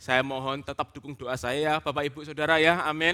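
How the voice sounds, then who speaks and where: This man's voice is fairly high and has a bright, sharp tone. He keeps a moderate pace. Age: 30s. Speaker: preacher, theologian. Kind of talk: sermon.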